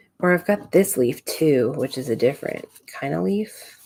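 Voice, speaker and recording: Mumbling at a fairly slow pace, a woman speaks in a very deep, low voice that swings very widely in pitch. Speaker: scrapbooking livestreamer. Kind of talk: live crafting tutorial chat. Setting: home craft desk livestream. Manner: mumbling to herself.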